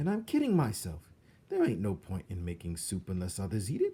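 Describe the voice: Putting on a character voice, a man speaks at a fairly quick pace in a low, dark, mellow tone with a slightly husky edge and very wide pitch swings.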